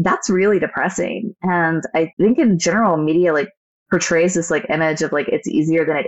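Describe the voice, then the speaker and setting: A woman speaks with an American accent in a plain, everyday voice. Her pitch is fairly low, with ordinary variation, and her pace is fairly quick. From United States. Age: 30s. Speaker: podcast co-host, administrative assistant. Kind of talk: casual chat.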